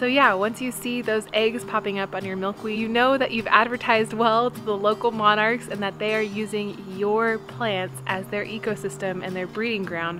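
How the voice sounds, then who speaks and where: Over clear music in the background, a woman speaks at a moderate pace with ordinary pitch variation and hardly any pauses. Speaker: home vlogger. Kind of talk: casual vlog chat. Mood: cheerful, enthusiastic. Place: garden. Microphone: phone near.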